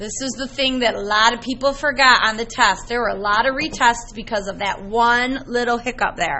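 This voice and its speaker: Amid noticeable background noise and audible room echo, a woman with a fairly high pitch talks at a moderate pace with hardly any pauses and fairly even intonation. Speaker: math teacher. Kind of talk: classroom lecture.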